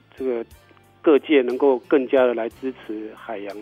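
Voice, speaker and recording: A man's medium-pitched voice, fairly even in intonation, at a moderate pace, with music in the background. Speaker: government ocean conservation official, interview guest. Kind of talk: radio interview answer, informative explanation.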